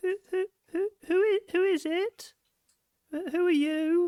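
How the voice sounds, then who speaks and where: An extremely high-pitched, put-on character voice. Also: fairly slow pace. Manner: timid.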